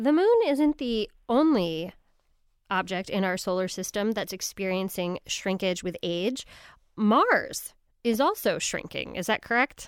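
A woman with a normal speaking voice talks at a fairly slow pace, fairly high in pitch with lively intonation. The recording is very clean, with a silent background. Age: 40s. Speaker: radio host. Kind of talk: radio interview.

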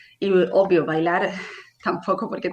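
This woman has an unremarkable speaking voice, pitched in the medium range and delivered at a moderate pace. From Spain, Barcelona. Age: 30s. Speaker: patient with a rare disease. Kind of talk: testimony. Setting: live stream.

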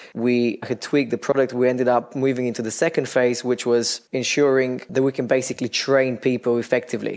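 With a Bulgarian accent, a man talks at a fairly quick pace and medium pitch, in a monotone, flat way with hardly any pauses. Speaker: startup founder. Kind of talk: podcast interview.

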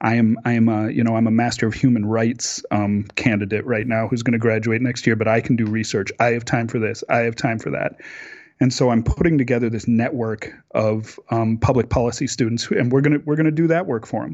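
This man has an Upper Midwest accent and a medium pitch. He talks at a fairly quick pace with ordinary pitch variation. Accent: Upper Midwest American. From Minnesota, Minneapolis western suburbs. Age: 40s. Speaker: public affairs graduate and researcher. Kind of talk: casual interview.

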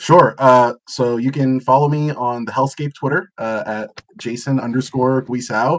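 A man with a plain, everyday voice speaks at a fairly slow pace and a medium pitch, with fairly even intonation and hardly any pauses. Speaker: former editor, guest writer.

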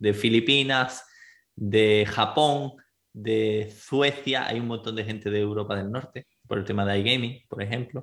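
Speaking with an Andalusian accent, a man talks at a fairly low pitch and fairly slow pace, with ordinary pitch variation. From Spain, Andalusia (Granada). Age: 20s. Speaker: relocation agency director. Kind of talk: interview.

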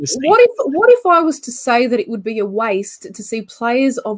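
Her pitch swinging very widely, a woman with an Australian accent speaks at a moderate pace. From Australia, Canberra. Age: 30s. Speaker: football show host. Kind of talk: casual chat.

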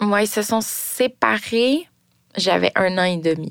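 In a very clean recording with a silent background, a woman speaks very slowly in a Quebec accent. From Quebec (Longueuil, Montreal area). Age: 30s. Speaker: storyteller sharing a personal story. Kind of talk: personal testimony.

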